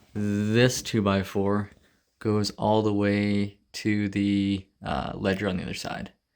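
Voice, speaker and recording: At a very slow pace, a man speaks with a fairly low pitch and monotone, flat intonation. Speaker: DIY video maker. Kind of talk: casual tutorial walkthrough. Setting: garage. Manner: hesitant, many fillers.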